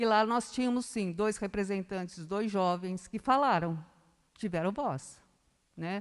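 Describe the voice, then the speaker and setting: At a fairly slow pace, a woman of medium pitch talks with ordinary pitch variation in an unremarkable speaking voice. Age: 60s. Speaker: local government official. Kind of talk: speech at city council session.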